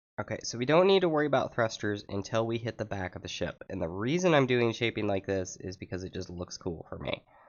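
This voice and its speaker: His pitch swings very widely. This man's delivery is very fast. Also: medium pitch for a man. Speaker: gaming YouTuber building ships. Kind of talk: gameplay tutorial commentary. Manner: casual, halting with fillers.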